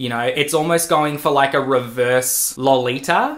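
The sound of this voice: Faint background noise sits behind a man speaking with a fairly bright tone and fairly high pitch.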